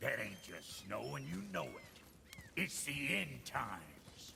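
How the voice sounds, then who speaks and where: A put-on character voice from a man, very deep and low in pitch, at a fairly slow pace over clear background noise. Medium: video game. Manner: gruff, blunt.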